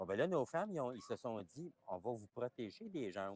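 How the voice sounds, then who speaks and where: At a moderate pace, a man with a medium pitch speaks with very wide pitch swings in a dry, close sound with no echo. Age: 70s. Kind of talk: interview, explaining traditions. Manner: halting, many repetitions.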